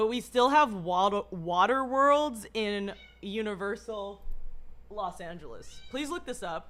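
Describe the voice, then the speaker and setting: Music plays in the background as the voice moves at a fairly slow pace with lively intonation. Loudness swings widely. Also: woman, fairly high pitch for a woman. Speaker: live streamer. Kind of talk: casual chat. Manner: halting.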